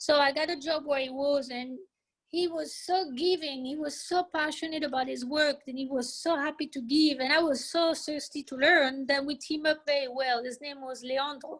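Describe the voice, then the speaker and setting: With a French accent, a woman speaks at a moderate pace in a high pitch, using fairly even intonation. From France. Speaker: hair salon owner. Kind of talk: interview.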